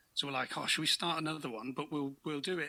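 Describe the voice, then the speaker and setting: A man speaks with an English accent and a bright, sharp tone. The recording is very clean, with a silent background. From England, Peterborough. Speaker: podcast co-host, guest. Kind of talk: casual chat.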